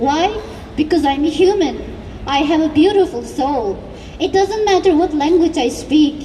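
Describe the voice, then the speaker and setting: Over noticeable background noise, a woman speaks with a Xinjiang accent. Her pitch is high with ordinary variation, and her pace is fairly slow. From East Turkestan (Xinjiang). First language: Uyghur. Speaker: activist speaker. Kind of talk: rally speech. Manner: impassioned.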